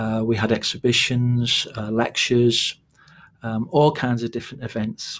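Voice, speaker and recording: A man talks in a Scouse accent. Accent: mild Liverpool (Scouse). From Liverpool outskirts, Liverpool Irish background. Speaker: playwright. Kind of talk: casual interview chat.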